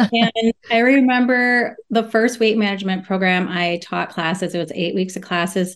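Over noticeable background noise, a woman speaks at medium pitch and a moderate pace with ordinary pitch variation and hardly any pauses. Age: 40s. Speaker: registered dietitian. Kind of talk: casual interview chat. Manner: laughs often.

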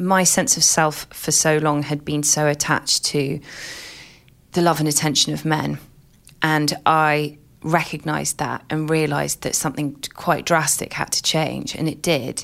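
A woman with a southern English accent speaks at a fairly slow pace in a very deep, low pitch with vocal fry. Her intonation is monotone and flat, and the recording is very clean with a silent background. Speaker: journalist and author. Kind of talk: interview conversation.

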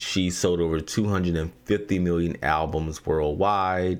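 A man with a very deep, low voice and a Southern US accent, fairly even intonation and a fairly slow pace, on a very clean recording with a silent background. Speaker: podcast host. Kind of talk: news commentary monologue.

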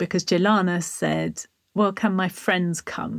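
A woman with an English accent, fairly low pitch and vocal fry, at a moderate pace. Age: 40s. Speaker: author and charity founder. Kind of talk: interview storytelling.

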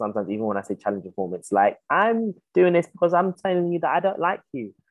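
A man with a London accent talks very fast, his pitch swinging very widely. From South London, England. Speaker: playwright and theatre director. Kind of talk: interview.

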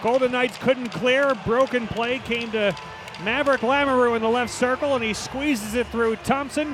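An extremely high-pitched male voice over music in the background. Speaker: hockey play-by-play broadcaster. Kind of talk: live hockey play-by-play commentary. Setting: arena broadcast booth. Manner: rapid-fire, clipped calls of names and puck movement; rises to excited goal calls with a laugh.

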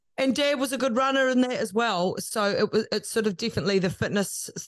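Against a quiet background, a woman with a New Zealand accent talks with ordinary pitch variation. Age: 30s. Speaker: media personality and podcast producer. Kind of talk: casual interview chat.

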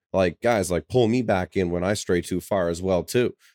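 In a very clean, dry, close recording with no echo and a silent background, a man with a normal speaking voice talks at a fairly low pitch and moderate pace, with ordinary pitch variation. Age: 20s. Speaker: podcast host and contractor. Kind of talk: casual chat.

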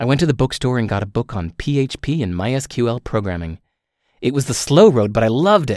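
In a normal speaking voice, a man talks at a fairly quick pace with lively intonation and medium pitch, the sound dry and close with no echo on a very clean recording over a silent background. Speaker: author reading own book. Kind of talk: reading aloud.

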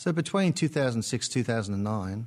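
A man with an Australian accent speaks at a medium pitch with ordinary pitch variation. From born in Britain, lived in Australia about 30 years. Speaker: podcast guest, musician and theatre director.

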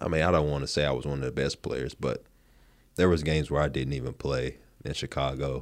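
A man with a North Carolina accent speaks at a very fast pace in a very deep, low pitch with vocal fry. His intonation is monotone and flat, on a very clean recording with a silent background. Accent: US Southern (North Carolina). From southeastern North Carolina, rural coast. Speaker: former pro basketball player. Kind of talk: interview.

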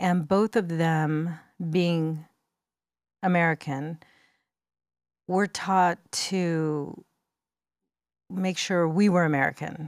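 A woman at a fairly low pitch, very slow, with long, frequent pauses, fairly even intonation and very even loudness, in a very clean recording with a silent background. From US, Mexican-American family. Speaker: makeup artist and beauty entrepreneur. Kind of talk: interview conversation.

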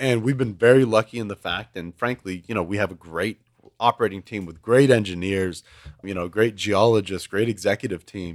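In a plain, everyday voice with an American accent, a man with a fairly low pitch and ordinary pitch variation talks at a fairly quick pace with big swings in loudness, in dry, close sound with no echo on a very clean recording with a silent background. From Houston, Texas. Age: 20s. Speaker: oil and gas executive. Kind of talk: casual chat.

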